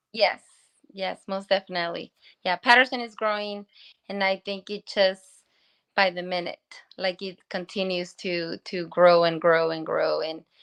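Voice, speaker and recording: A woman with a Spanish accent speaks at a medium pitch and moderate pace, her intonation fairly even but her loudness swinging widely. Long, frequent pauses break her speech, and the sound is dry and close with no echo over a quiet background. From Guanajuato, Mexico. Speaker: small business owner. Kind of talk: interview.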